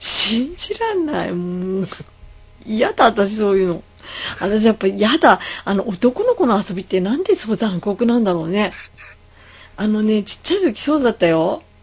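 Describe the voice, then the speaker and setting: Over noticeable background noise, a woman speaks in a fairly high pitch with lively intonation. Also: moderate pace. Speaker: podcast host. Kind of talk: casual chat. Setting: Skype call.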